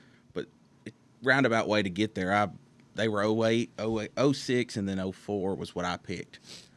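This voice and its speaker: A man's fairly low voice in a Southern US accent, at a moderate pace with ordinary pitch variation, over a silent background in a very clean recording. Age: 20s. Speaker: race car driver. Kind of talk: interview. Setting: studio.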